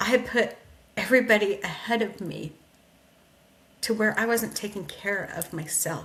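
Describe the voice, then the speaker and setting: A loud woman's voice, fairly high in pitch, with ordinary pitch variation, a moderate pace and long, frequent pauses. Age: 60s. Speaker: podcast host. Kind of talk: motivational talk. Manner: animated.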